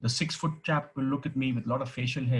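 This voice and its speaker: A man with a somewhat breathy voice. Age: 60s. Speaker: retired teacher and former deputy headmaster. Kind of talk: speech.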